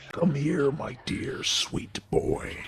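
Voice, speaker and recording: Whispering in a put-on character voice, a man is soft-spoken and growling. Clear background noise runs underneath. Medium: game stream. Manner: sweet, whispering, seductive.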